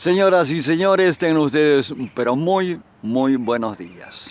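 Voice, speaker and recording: This man talks at a very slow pace. His intonation is lively. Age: 70s. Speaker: interviewer. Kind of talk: interview.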